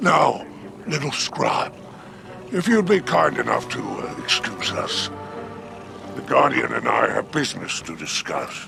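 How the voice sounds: Using a put-on character voice, a man speaks at a fairly slow pace and medium pitch with very wide pitch swings, vocal fry and a bright, sharp tone, while faint music plays in the background.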